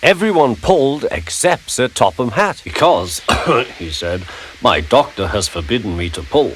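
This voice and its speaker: A man at a medium pitch and moderate pace, with very wide pitch swings and big swings in loudness, over noticeable background noise. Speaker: narrator. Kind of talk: children's story narration.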